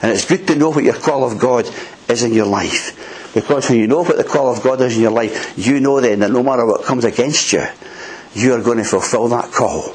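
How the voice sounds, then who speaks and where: A man with a Scottish accent speaks at a fairly quick pace and medium pitch. Noticeable background noise runs underneath. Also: ordinary pitch variation. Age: 60s. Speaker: preacher. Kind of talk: sermon. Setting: church.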